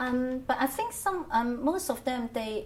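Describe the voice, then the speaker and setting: A woman speaks in a Hong Kong accent. Her pace is very slow. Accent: Hong Kong Cantonese. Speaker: Cantonese language teacher. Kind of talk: oral history interview answer. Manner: hesitant, many fillers.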